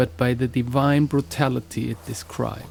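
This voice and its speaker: A man speaks at a medium pitch with lively intonation. Music plays in the background. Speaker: singer and shamanic practitioner. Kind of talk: podcast narration on myth and music. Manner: slow, deliberate.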